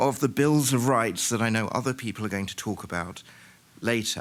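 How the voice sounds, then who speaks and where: This man speaks with a British accent. His pitch is medium and his pace moderate. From Britain. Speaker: historian, keynote speaker. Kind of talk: conference keynote lecture. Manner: halting, many fillers.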